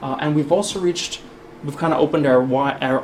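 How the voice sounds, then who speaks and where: In a Brooklyn accent, a man with a fairly high pitch and ordinary pitch variation talks very fast amid noticeable background noise and audible room echo. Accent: Brooklyn New York. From US Northeast (Brooklyn, New York). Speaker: spokesperson and former army officer. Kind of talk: public talk. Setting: hall with live audience.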